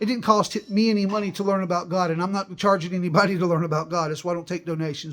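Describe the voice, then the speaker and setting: This man speaks very fast, with a high pitch and ordinary pitch variation. The recording is very clean, with a silent background. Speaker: religious video host. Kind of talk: unscripted religious monologue. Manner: halting, frequent stutters and restarts.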